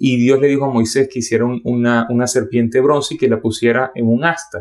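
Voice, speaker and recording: The speaker has a Venezuelan accent. The intonation is fairly even. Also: man, medium pitch for a man. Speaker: preacher. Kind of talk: sermon. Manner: fast.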